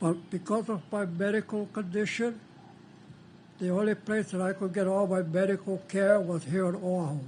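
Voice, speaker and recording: This man has a high pitch and fairly even intonation. He keeps a moderate pace. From Hawaii, Big Island (Keaukaha). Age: 80s+. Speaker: canoe carver and former entertainer. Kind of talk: panel discussion, personal story.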